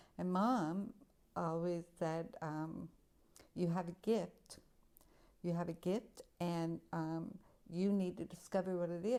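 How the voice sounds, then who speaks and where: Speaking at a very slow pace with long, frequent pauses, a woman with an American accent has a dark, mellow tone and fairly even intonation. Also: fairly low pitch for a woman. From California. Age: 60s. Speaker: deaf photographer and writer. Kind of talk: personal testimony.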